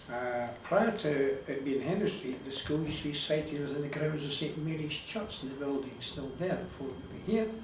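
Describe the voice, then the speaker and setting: Noticeable background noise and audible room echo surround a man with an Edinburgh accent, whose fairly high pitch shows ordinary variation. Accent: Edinburgh Scottish. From Scotland, Leith (Edinburgh). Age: 70s. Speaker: elderly local interviewee sharing memories. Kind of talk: oral history interview.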